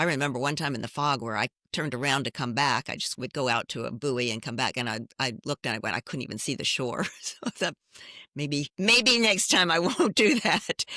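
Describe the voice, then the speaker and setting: A woman's very deep, low voice with very wide pitch swings and a bright, sharp tone, dry and close with no echo, on a very clean recording with a silent background. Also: fairly quick pace. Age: 70s. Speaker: fitness competitor. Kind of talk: interview.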